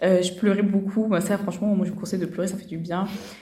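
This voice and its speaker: Amid noticeable background noise and audible room echo, a woman speaks at a very fast pace. Her medium pitch holds a monotone, flat intonation. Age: 20s. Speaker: medical student. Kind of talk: testimony. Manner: hesitant.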